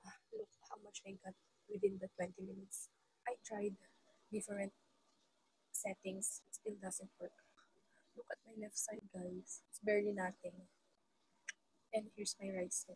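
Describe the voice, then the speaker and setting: Medium in pitch, this woman's somewhat breathy voice has a dark, mellow tone and monotone, flat intonation. She keeps a moderate pace, and the sound is dry and close with no echo. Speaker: mom vlogger. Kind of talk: casual vlog review.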